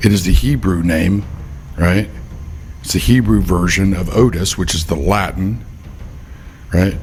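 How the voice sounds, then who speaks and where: A man with a very deep, low voice talks at a fairly slow pace, leaving long, frequent pauses, with ordinary pitch variation, audible room echo and noticeable background noise. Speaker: faith and politics commentator. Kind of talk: casual monologue. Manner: can sound stern or angry to others; unscripted, off the cuff.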